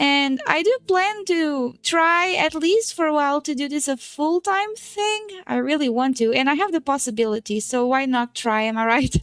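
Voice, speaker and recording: Loud and at a moderate pace, the speaker uses very wide pitch swings and hardly any pauses, with a Portuguese accent. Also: woman, high pitch for a woman. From Portugal. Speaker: VTuber streamer. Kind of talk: casual livestream chat.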